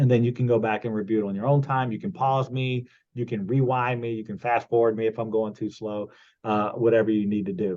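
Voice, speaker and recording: Fairly even in intonation, a man of medium pitch talks at a fairly quick pace. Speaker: computer skills instructor. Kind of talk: online class tutorial. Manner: casual with many fillers; fast.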